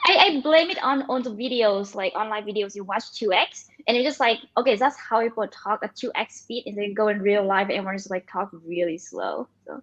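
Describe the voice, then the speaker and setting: A woman with a Vietnamese accent, fairly high pitch, fairly quick pace, and ordinary pitch variation. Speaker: machine learning engineer and startup founder. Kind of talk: interview. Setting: livestream. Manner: fast; halting.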